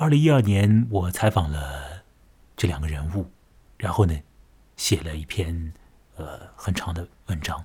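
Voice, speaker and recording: Very deep and low, a man's somewhat breathy, dark, mellow voice moves at a fairly slow pace with lively intonation and long, frequent pauses. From Chongming Island, Shanghai. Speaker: podcast host, journalist. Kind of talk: monologue narration. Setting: alone at home at night.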